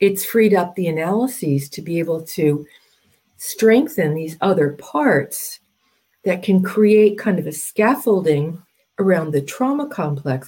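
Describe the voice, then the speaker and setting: An American-accented woman with a medium pitch, lively intonation and an unremarkable speaking voice. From US Northeast, New Jersey. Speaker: Jungian analyst. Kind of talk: interview.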